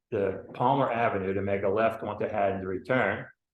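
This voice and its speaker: A fairly low-pitched man with an American accent, with audible room echo. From US Northeast, New Jersey. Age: 70s. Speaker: resident speaking at public comment. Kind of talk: public comment at town meeting. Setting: municipal commissioners meeting. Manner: halting, with fillers and repeats.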